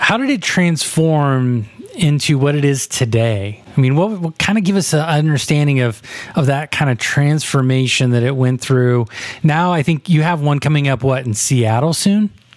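An unremarkable speaking voice moves at a moderate pace with very even loudness. Its pitch varies an ordinary amount. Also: man, fairly high pitch for a man. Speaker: podcast host. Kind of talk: casual interview.

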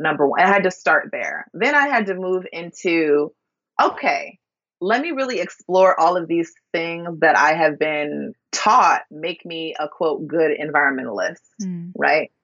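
A normal speaking voice from a woman, fairly low in pitch, with lively intonation at a fairly slow pace. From US Midwest (Minneapolis, Minnesota). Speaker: scholar and eco-critic. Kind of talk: interview conversation.

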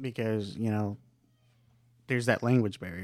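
The man's medium-pitched voice, with fairly even intonation, comes across as a dry, close sound with no echo. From north Texas, born in Mexico. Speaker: agricultural equipment technician. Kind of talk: casual chat.

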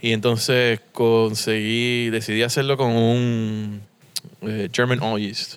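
Very slow and monotone, the speech has flat intonation throughout. It comes from a man with a medium-pitched voice. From Puerto Rico and US mainland. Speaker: brewery co-founder. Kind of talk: interview conversation. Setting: beer shop.

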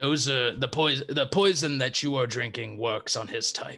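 This man uses a put-on character voice, raspy and medium in pitch. He talks at a moderate pace with ordinary pitch variation. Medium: actual play. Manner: firm, clipped, commanding.

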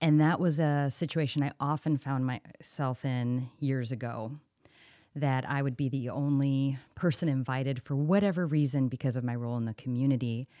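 Speaking with an American accent, a woman has a very deep, low pitch and a dark, mellow tone, at a moderate pace with fairly even intonation. The recording is very clean, with a silent background. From US Midwest (St. Louis area). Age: 40s. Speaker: journalist. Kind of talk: interview conversation.

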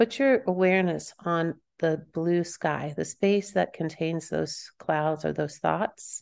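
With an American accent, a woman speaks very slowly in a fairly low pitch, with ordinary pitch variation and hardly any pauses. The background is quiet. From Kansas. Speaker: empowerment coach and author. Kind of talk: guided meditation, eyes-closed centering exercise for listeners; casual interview chat. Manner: slow, calm, soothing instruction with pauses; warm, laughing, filler-heavy conversation.

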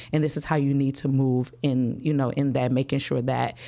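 A woman with an American accent talks at a fairly quick pace, her very deep, low pitch and dark, mellow tone held to fairly even intonation. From Chicago West Side. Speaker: school principal and author. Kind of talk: interview.

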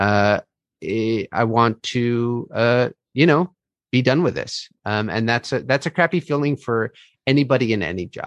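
Recorded dry and close with no echo over a quiet background, a man with a normal speaking voice and an American accent talks at a fairly slow pace and medium pitch, with ordinary pitch variation. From US West Coast, Bay Area (Marin County, California). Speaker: actor. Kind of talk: casual chat.

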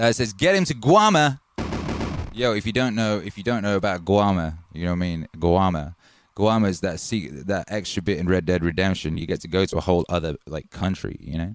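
A man talks at a fairly quick pace in an animated tone. His very deep, low pitch shows ordinary pitch variation. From Wales. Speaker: music producer and live streamer. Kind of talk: casual live stream chat. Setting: live stream.

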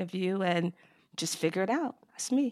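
A woman's medium-pitched voice with an American accent at a fairly quick pace, in a very clean recording with a silent background. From New York, Long Island. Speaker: HR executive. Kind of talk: interview.

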